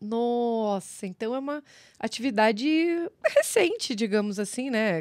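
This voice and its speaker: A woman with a fairly high pitch and an animated tone talks at a fairly slow pace, leaving long, frequent pauses and showing ordinary pitch variation. The background is quiet and the sound is dry with no echo. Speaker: podcast co-host. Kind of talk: casual chat. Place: studio. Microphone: studio mic.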